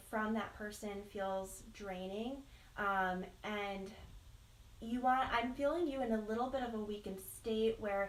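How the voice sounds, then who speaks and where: With audible room echo, a woman speaks at a fairly slow pace in a fairly high pitch with ordinary pitch variation. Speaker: tarot card reader. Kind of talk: live psychic reading. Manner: hesitant with many fillers.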